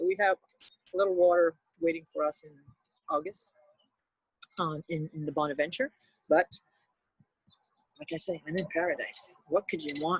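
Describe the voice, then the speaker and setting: A woman with a Quebec accent and a fairly low pitch speaks at a moderate pace with fairly even intonation, long, frequent pauses and big swings in loudness, in a dry, close sound with no echo. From Montreal, Quebec. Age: 60s. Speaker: retired knitting teacher. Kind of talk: casual interview chat. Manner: halting, with many fillers.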